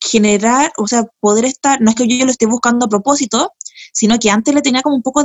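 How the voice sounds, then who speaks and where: In a Chilean accent, a woman speaks at a very fast pace in a high pitch with fairly even intonation. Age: 30s. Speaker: comedian and writer. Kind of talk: casual chat.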